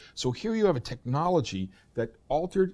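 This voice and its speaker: With an American accent, a man speaks at a moderate pace, his tone dark and mellow and his intonation lively. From US East Coast. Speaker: professor. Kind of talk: interview.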